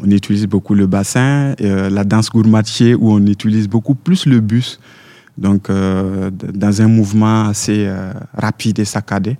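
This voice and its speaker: In a very clean recording with a silent background, a man with a dark, mellow tone speaks at a moderate pace with fairly even intonation. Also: fairly low pitch for a man. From Burkina Faso. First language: French. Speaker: dancer and choreographer.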